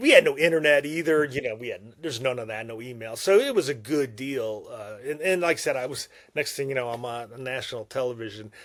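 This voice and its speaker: In a plain, everyday voice, a man at medium pitch talks at a fairly quick pace with hardly any pauses, ordinary pitch variation and big swings in loudness, on a very clean recording with a silent background. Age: 60s. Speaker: former Navy fighter pilot, war veteran. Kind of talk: podcast interview, storytelling.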